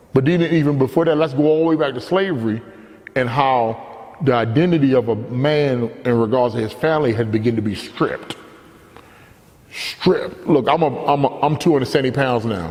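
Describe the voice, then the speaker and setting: A man at a medium pitch, with noticeable background noise behind him. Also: ordinary pitch variation, fairly quick pace. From Baltimore, Maryland. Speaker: storyteller. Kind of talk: personal monologue. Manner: animated.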